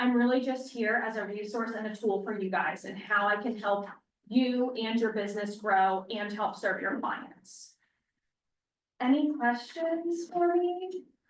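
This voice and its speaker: Soft-spoken and fairly slow, a woman talks at a fairly high pitch with lively intonation. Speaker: loan officer. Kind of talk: sales pitch.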